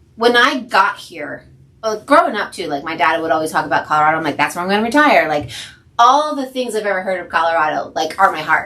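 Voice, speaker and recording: Very fast, lively speech from a woman with an American accent, fairly low pitch, and big swings in loudness. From New Jersey. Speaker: podcast co-host, nurse. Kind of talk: casual chat. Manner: animated.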